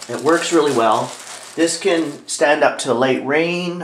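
Ordinary pitch variation, with audible room echo and light background noise. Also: man. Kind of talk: tutorial. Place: home room. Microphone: camera far.

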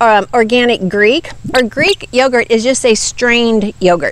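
At a moderate pace, a woman speaks with fairly high pitch.

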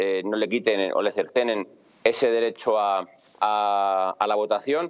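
With ordinary pitch variation, a man's medium-pitched voice keeps a moderate pace. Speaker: police officer. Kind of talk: interview. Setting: video call.

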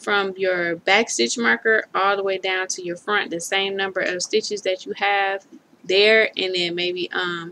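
This woman speaks at a moderate pace. Her pitch varies in an ordinary way. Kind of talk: tutorial. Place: home room. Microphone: webcam.

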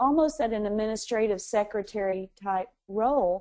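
In a dark, mellow tone with ordinary pitch variation, a woman talks against a quiet background. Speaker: interviewee. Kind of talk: interview answer. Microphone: phone line.

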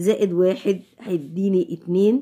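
Against a quiet background, a woman with an Egyptian accent speaks in a medium pitch with a dark, mellow tone and ordinary pitch variation. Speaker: physics teacher. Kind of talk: tutorial. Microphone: phone near.

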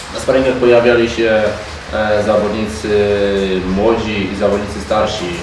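A man with a Polish accent and a fairly low pitch speaks at a moderate pace with fairly even intonation and long, frequent pauses, amid audible room echo and noticeable background noise. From Poland. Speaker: club official at football press conference. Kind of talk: press conference. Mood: calm, measured. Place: meeting room.

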